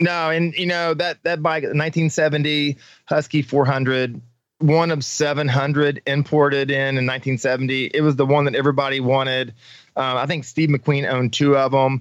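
Against a quiet background, a man with an American accent talks at a fairly slow pace. His pitch is fairly high and his intonation monotone and flat. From Missouri. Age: 40s. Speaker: off-road racer and military veteran. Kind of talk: casual interview.

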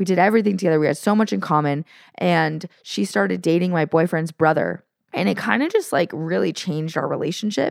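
A woman speaks in a fairly low pitch with vocal fry. Her loudness stays very even. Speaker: podcast co-host. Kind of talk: casual conversational podcast chat. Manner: uptalk, turns statements into questions when nervous.

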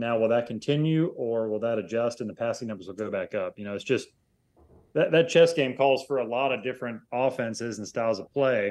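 This is a normal speaking voice with ordinary pitch variation, moving at a fairly quick pace. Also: man, medium pitch for a man. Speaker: national NFL reporter. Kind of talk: interview.

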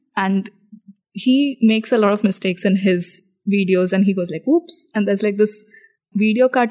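A woman's somewhat breathy, dark and mellow voice at a medium pitch, with ordinary pitch variation and a moderate pace. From India. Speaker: engineer and podcast co-host. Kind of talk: casual chat.

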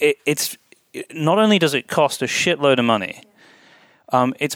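The recording is very clean, with a silent background. A man speaks in a Scottish accent. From Scotland. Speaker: podcast host. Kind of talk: interview. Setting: hotel room.

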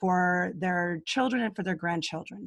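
A woman's somewhat breathy voice with ordinary pitch variation comes through on a very clean recording with a silent background. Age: 50s. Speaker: speaker on aging. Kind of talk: interview.

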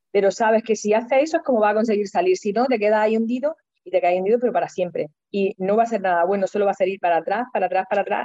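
Talking at a very fast pace, a woman uses a medium pitch with ordinary variation. Her tone is dark and mellow. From Almería, Andalusia, Spain. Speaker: interviewee sharing personal growth story. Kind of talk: testimony. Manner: expressive.

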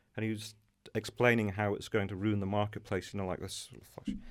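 In a very clean recording with a silent background, a man with an English accent and fairly low pitch talks at a very fast pace. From England, Norfolk. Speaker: kitchen and bathroom retail business owner. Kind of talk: interview. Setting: studio.

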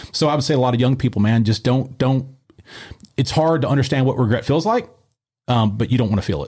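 Very fast yet broken by long, frequent pauses, this dark, mellow voice sounds somewhat breathy and has ordinary pitch variation. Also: man, medium pitch for a man. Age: 40s. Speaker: martial arts gym owner and former MMA fighter. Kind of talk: casual interview. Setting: studio.

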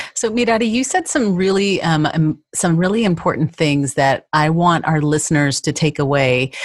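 In a normal speaking voice, a woman talks at a moderate pace with hardly any pauses, a fairly low pitch, lively intonation and very even loudness. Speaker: podcast host. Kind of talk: interview.

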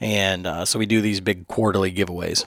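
Fairly low in pitch with fairly even intonation, this man has an unremarkable speaking voice. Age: 40s. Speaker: podcast host. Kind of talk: ad read; casual chat. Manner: many fillers.

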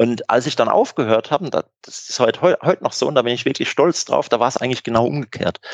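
A man talks at a very fast pace with hardly any pauses. His pitch is medium, with ordinary variation. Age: 40s. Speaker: tax auditor and club board candidate. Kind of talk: interview. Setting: video call.

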